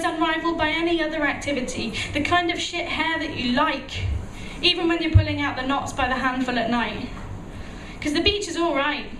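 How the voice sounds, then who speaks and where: A woman's extremely high voice at a moderate pace, with noticeable background noise. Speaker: spoken word poet. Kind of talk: spoken word poetry performance. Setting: live venue.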